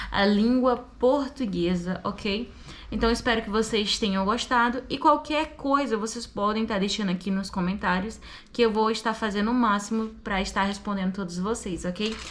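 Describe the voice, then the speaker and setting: With an unremarkable speaking voice, a woman speaks at a fairly high pitch with ordinary pitch variation. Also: moderate pace. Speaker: language student and English teacher. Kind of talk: tutorial. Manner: casual.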